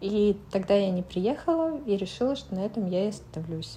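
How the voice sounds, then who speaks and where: This woman's voice has some breathiness. Its tone is dark and mellow. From Moscow, Russia. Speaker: former synchronized swimmer. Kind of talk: interview. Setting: studio.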